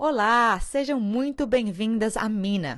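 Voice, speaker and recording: A woman's fairly high voice with very wide pitch swings, against a quiet background. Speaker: podcast host, theatre director. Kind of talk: scripted narration.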